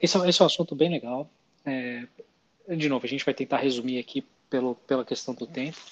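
A man's medium-pitched voice at a very fast pace with long, frequent pauses, ordinary pitch variation, and a dry, close sound with no echo. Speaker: finance podcast co-host. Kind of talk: casual explanatory chat.

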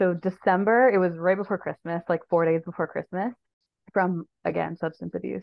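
A woman with a Canadian accent uses a plain, everyday voice, fairly low in pitch, with fairly even intonation at a moderate pace. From Ontario, Canada (Sault Ste. Marie). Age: 30s. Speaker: harm reduction advocate. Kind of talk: casual interview.

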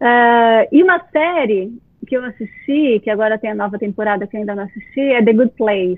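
Her voice is an unremarkable speaking voice, fairly high in pitch, as a woman talks at a moderate pace with ordinary pitch variation. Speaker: university professor. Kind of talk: interview.

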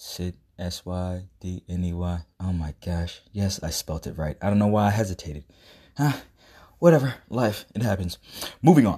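The voice has a dark, mellow tone and is somewhat breathy. The recording is very clean, with a silent background. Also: man, very deep, low pitch for a man, ordinary pitch variation, moderate pace. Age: 30s. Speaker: podcast host and artist entrepreneur. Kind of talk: casual monologue. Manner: rambling with many fillers.

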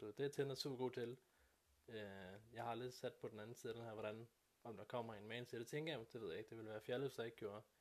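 This man speaks very fast at a medium pitch, his intonation fairly even. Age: 30s. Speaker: podcast co-host and phone salesman. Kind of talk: casual chat.

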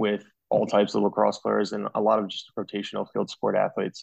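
In an American accent, a man with a plain, everyday voice talks at a fairly quick pace and medium pitch, with a dry, close sound with no echo and a quiet background. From New Jersey. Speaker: physical therapist. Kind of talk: casual interview.

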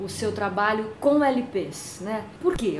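A woman's medium-pitched voice, with ordinary pitch variation, comes through noticeable background noise and audible room echo. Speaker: radio host. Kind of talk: interview.

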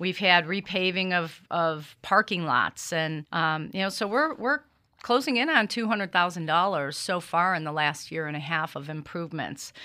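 A woman speaks with a bright, sharp tone at a fairly low pitch and a moderate pace, with ordinary pitch variation. She has an American accent, and the recording is very clean with a silent background. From US Midwest, Cleveland, Ohio. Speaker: small business owner and community board member. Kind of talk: interview. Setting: studio.

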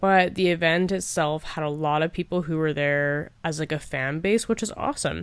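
A woman's very deep, low voice with a Canadian accent, fairly even intonation and hardly any pauses, against noticeable background noise. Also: moderate pace. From Canada. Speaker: podcast host and nurse. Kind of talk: solo podcast monologue.

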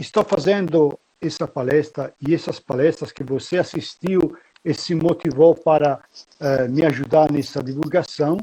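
A man with an Italian accent speaks at a fairly high pitch in a dark, mellow tone. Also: fairly even intonation. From Italy (Pistoia, Tuscany). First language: Italian (speaking Portuguese). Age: 60s. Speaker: military history guide and lecturer. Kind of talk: interview.

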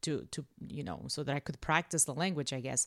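A woman's voice, dry and close with no echo, in a very clean recording with a silent background. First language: not English. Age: 40s. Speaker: teacher. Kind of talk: casual chat. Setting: home studio.

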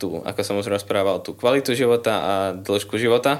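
A man's ordinary speaking voice, fairly slow and fairly even in intonation, on a very clean recording with a silent background. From Slovakia, Liptov region. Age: 20s. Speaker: university student. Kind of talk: casual interview.

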